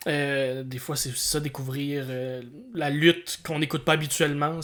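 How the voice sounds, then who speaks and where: A man speaks in a Quebec accent at a fairly slow pace. His voice is fairly high-pitched. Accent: Québécois French. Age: 30s. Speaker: podcast co-host and comedian. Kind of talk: casual podcast chat. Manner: halting, repeats words.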